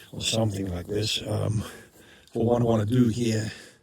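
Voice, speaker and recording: Speaking with a South African accent, a man talks at a fairly quick pace and fairly low pitch. There is audible room echo and noticeable background noise. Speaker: YouTuber, hobby tractor restorer. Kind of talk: casual vlog. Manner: halting, many fillers.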